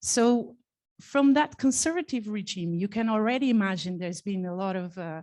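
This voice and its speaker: The background is quiet. A woman speaks with a dark, mellow tone. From Portugal. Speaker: conference speaker, developer advocacy manager. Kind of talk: conference talk, personal career story. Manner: halting.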